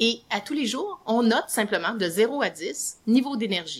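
This woman speaks with a Quebec accent. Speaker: psychologist and author. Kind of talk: interview.

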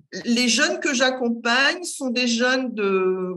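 With lively intonation and a bright, sharp tone, the speech moves at a very slow pace amid audible room echo. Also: woman. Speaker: career guidance counsellor, entrepreneur. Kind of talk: casual interview.

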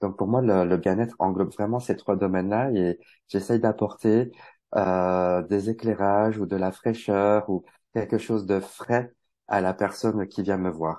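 Against a quiet background, a man speaks slowly-ish with a fairly low pitch and a dark, mellow tone. His intonation stays fairly even and his pace fairly slow. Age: 40s. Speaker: tarot reader and wellbeing coach. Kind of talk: casual interview. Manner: hesitant, many fillers.

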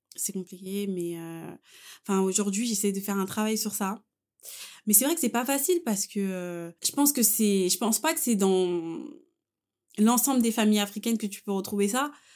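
On a very clean recording with a silent background, a woman speaks at medium pitch and a moderate pace with ordinary pitch variation and long, frequent pauses. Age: 20s. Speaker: person sharing a personal story. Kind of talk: personal testimony in casual chat.

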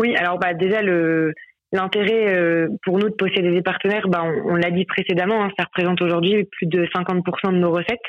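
Her voice sits at a medium pitch, and this woman keeps a fairly even intonation. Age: 20s. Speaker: sales manager at a handball club. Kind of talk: interview. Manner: hesitant, many fillers.

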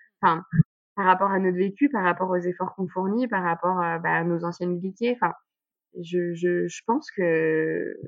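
At a moderate pace, a woman speaks at medium pitch. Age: 30s. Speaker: pregnant woman with type 1 diabetes. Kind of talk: testimony. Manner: halting.

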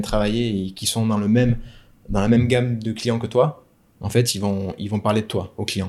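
Here a man speaks at a moderate pace. His pitch is medium, with ordinary variation. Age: 30s. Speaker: wedding videographer. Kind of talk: casual interview. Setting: at the guest's home. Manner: halting.

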